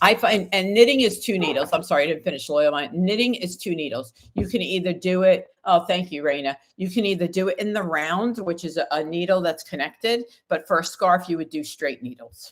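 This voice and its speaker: A woman speaks at medium pitch with an American accent. Her intonation is lively and her pace fairly quick. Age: 60s. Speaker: tarot reader. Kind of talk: live stream chat. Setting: livestream. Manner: casual, with many fillers.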